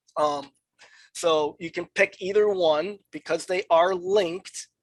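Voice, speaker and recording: Her voice sits at a fairly low pitch for a woman, with fairly even intonation. The woman talks at a very slow pace in a dry, close sound with no echo. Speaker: software trainer. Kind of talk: tutorial. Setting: webinar.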